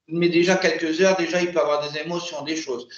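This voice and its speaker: A man with a fairly high pitch talks with fairly even intonation. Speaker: regression hypnosis practitioner. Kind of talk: post-session debrief with client. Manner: halting, many repetitions.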